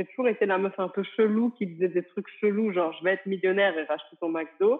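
Against a quiet background, a woman at medium pitch talks at a fairly quick pace with ordinary pitch variation. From France, small village. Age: 30s. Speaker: entrepreneur and business coach; interviewee. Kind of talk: interview. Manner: casual, hesitant with many fillers. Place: home room. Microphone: earbuds.

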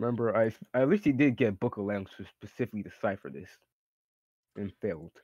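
Delivered at a very fast pace yet broken by long, frequent pauses, the speech has big swings in loudness and a dry sound with no echo. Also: man, ordinary pitch variation, quiet background. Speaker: tabletop game player. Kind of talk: casual roleplay banter. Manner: animated. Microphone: video call.

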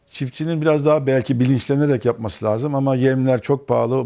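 A man talks very fast at a medium pitch, with ordinary pitch variation. His tone is dark and mellow, and the background is quiet. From Turkey, raised in many places incl. Erzurum; Turkey. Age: 50s. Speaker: mechanical engineer; interview guest. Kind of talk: interview. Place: studio. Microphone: lapel.

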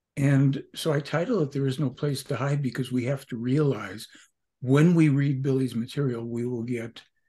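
Somewhat breathy and dark, mellow in tone, a man talks at a moderate pace with fairly even intonation over a quiet background. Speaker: podcast guest. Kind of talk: interview answer. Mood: earnest, emphatic. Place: home room.

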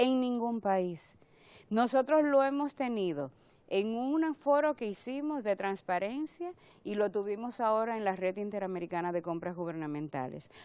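A woman speaks fairly slowly at a medium pitch, her tone dark and mellow. Her pitch swings very widely in a dry sound with no echo. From Dominican Republic. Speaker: government agency director; public guest. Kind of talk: TV interview; interview answer. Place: studio. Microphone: lapel.

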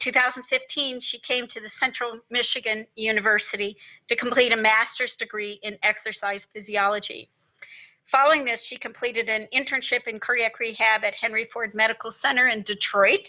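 The background is quiet. A woman talks at a moderate pace with fairly even intonation. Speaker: faculty host introducing speaker. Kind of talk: formal introduction. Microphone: video call.

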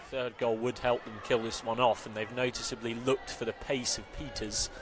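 Over noticeable background noise, a man with a medium pitch speaks at a fairly quick pace in a monotone, flat intonation. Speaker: football commentator.

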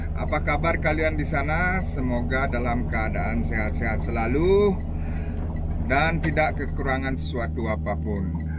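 A man speaks at a fairly slow pace. The sound is dry with no echo, but the background noise is loud. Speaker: truck driver vlogger. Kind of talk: casual vlog chat. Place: car. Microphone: phone near.

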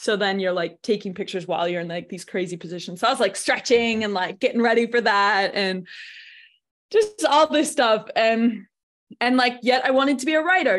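A woman talks in a normal speaking voice, fairly high in pitch, at a fairly quick pace. Her intonation is lively, and the background is quiet. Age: 20s. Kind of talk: casual chat. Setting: video call.

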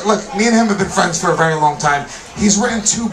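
A man's voice with very wide pitch swings over noticeable background noise. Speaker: stand-up comedian. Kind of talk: comedy roast set. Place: stage. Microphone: pa.

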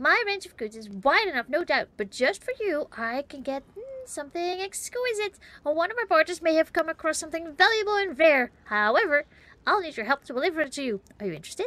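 A woman uses a put-on character voice at an extremely high pitch and a fairly quick pace. Her loudness swings widely, and the sound is dry and close with no echo. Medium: game stream. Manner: flattering, courtly, wheedling.

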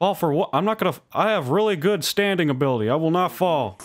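A man speaks in a cartoonish character voice. His pitch is high and his pace is very fast. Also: lively intonation. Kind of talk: cartoon voice impression. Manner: stern, folksy, churchy.

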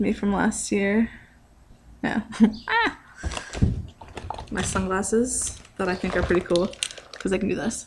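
A soft-spoken woman uses medium pitch and fairly even intonation. Noticeable background noise runs behind her. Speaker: vlogger. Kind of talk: casual vlog. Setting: garage. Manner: soft-spoken, talking quietly. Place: garage. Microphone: webcam.

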